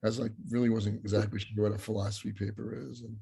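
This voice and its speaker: This man has a fairly low pitch and a somewhat breathy voice, captured in a very clean recording against a silent background. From grew up abroad, outside the US. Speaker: philosophy professor. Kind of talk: interview. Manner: halting, many fillers and restarts.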